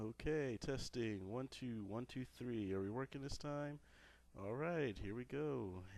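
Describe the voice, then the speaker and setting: Ordinary pitch variation marks a man's fairly slow speech. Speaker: gamer. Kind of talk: video game commentary. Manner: casual, joking.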